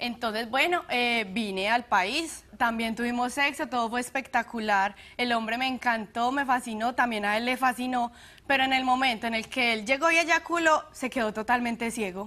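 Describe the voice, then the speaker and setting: Speaking in an Antioquian accent, a woman has a bright, sharp tone and a high pitch with ordinary variation, moving at a moderate pace. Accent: Colombian paisa Spanish. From Colombia, Medellín. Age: young. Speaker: plaintiff on a TV courtroom show. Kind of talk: courtroom testimony. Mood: earnest, somewhat aggrieved. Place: studio. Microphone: lapel.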